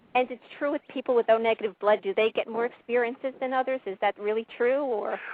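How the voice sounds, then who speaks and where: A woman at a very fast pace with hardly any pauses, a fairly high pitch, and fairly even intonation. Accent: New York. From New York. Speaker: caller. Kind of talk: call-in testimony.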